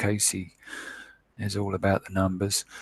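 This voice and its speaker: A man speaks in a flat monotone, his fairly low voice somewhat breathy. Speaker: online Bible teacher. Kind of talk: scripture word study lecture.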